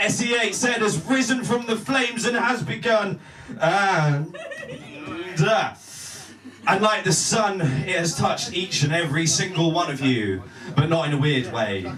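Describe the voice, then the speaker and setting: Speaking with a southern English accent, a man with a high pitch uses lively intonation at a moderate pace, with audible room echo and noticeable background noise behind him. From southern England. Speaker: spoken word poet. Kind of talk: spoken word performance.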